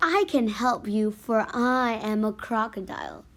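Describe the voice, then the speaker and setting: Put-on character voice from a woman, fairly high in pitch and fairly slow in pace, on a very clean recording with a silent background. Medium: read story. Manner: smooth, sly.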